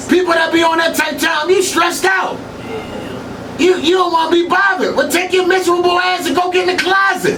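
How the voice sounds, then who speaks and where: Speaking at a fairly quick pace in a raised, projected voice of extremely high pitch, a man keeps his loudness very even amid noticeable background noise and audible room echo. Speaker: hip hop blogger and radio personality. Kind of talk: casual interview. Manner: animated.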